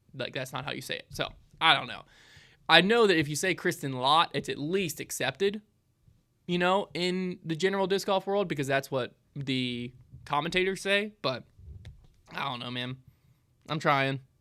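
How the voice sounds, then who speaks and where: With long, frequent pauses, a man speaks in a fairly high pitch and a bright, sharp tone, recorded very cleanly against a silent background. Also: ordinary pitch variation, moderate pace. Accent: Southern US. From US South. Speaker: small business owner. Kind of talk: live Q&A stream. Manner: casual, filler-heavy.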